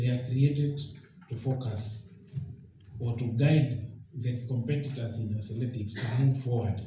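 A man speaks at a fairly slow pace and medium pitch with fairly even intonation. There is audible room echo and light background noise. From Kenya. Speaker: government treasury representative. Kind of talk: formal public speech. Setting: public forum with audience and microphone. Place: hall. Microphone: podium.

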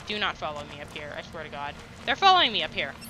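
Background noise is clearly audible as a man speaks. His pitch is fairly high and his intonation lively.

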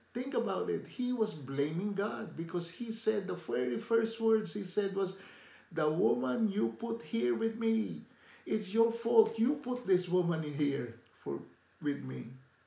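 Audible room echo surrounds a man speaking at a fairly slow pace with a high pitch and very wide pitch swings. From Philippines. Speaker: lay preacher. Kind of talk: devotional talk to camera. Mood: warm, earnest. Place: home room. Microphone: phone near.

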